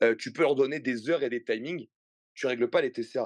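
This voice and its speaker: In a dry, close sound with no echo and a quiet background, the man's pitch moves in an ordinary way. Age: 30s. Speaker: fitness coach. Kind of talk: podcast interview. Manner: animated; hesitant fillers.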